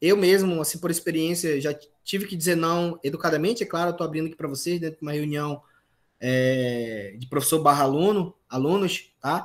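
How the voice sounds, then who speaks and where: Speaking at a moderate pace, a man uses a normal speaking voice with a fairly high pitch and ordinary pitch variation. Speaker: university lecturer. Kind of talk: online lecture.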